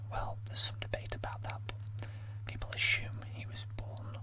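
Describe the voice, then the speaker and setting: A man whispers in a soft-spoken way over noticeable background noise. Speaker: amateur ASMR creator. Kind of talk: casual talk to camera. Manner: whispered, soft-spoken.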